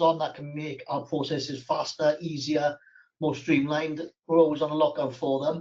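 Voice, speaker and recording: A man speaks with a Welsh accent. His pitch is fairly high. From South Wales. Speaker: accounting firm owner. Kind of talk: webinar panel talk. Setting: online webinar.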